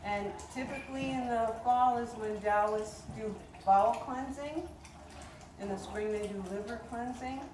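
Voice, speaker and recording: In a fairly high voice, a woman speaks with fairly even intonation. There is audible room echo along with noticeable background noise. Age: 70s. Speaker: tai chi teacher. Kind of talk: outdoor class instruction. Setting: outdoors.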